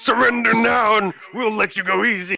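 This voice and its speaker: A man shouting in a put-on character voice, high-pitched, at a moderate pace with fairly even intonation. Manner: flustered, red-faced, yelling.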